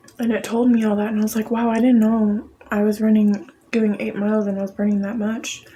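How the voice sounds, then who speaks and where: Over noticeable background noise, a woman with a fairly high pitch talks at a fairly quick pace with hardly any pauses, in a monotone, flat intonation. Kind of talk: ASMR eating video with casual chat. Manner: whispered.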